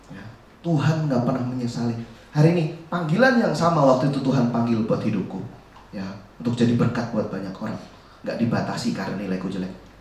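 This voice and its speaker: With very fast pace and lively intonation, a man speaks at a medium pitch, his loudness swinging widely, amid noticeable background noise and audible room echo. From Central Java, Indonesia (Solo). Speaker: youth preacher. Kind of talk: sermon.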